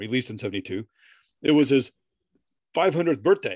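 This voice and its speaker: With a plain, everyday voice, a man speaks at a fairly high pitch with lively intonation, the sound dry and close with no echo against a quiet background. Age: 40s. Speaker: podcast co-host. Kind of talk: casual chat.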